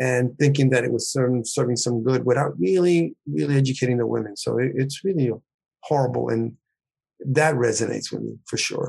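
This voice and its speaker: This man's voice is somewhat breathy, with ordinary pitch variation. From Puerto Rico and New York. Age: 60s. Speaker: writer and retired professor. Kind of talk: casual interview.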